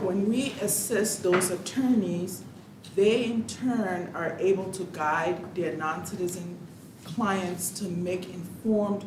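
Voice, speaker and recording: A woman speaks at a medium pitch and a very slow pace. The room echo is audible, and background noise is noticeable. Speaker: director of a county legal agency. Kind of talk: formal presentation at budget hearing. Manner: formal.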